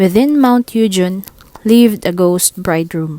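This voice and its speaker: Lively intonation at a fairly slow pace, in a dry, close sound with no echo. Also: woman. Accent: non-native. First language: not English. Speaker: audiobook reader. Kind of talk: read story.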